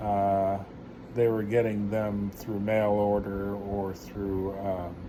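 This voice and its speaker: A man's fairly low voice at a very slow pace, with audible room echo. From New York. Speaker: vlogger. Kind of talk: casual storytelling. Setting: at home. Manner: halting, many filler words.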